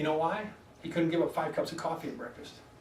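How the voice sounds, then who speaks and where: An excited man at a very fast pace, with audible room echo and noticeable background noise. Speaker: wellness doctor giving a weight loss workshop. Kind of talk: health workshop talk to a live group. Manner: fast, excited; animated.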